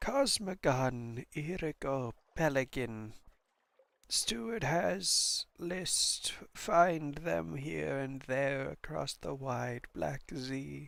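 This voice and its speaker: Slipping into a put-on character voice, a raspy man speaks at a medium pitch and a very slow pace. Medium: game stream. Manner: halting, breathless.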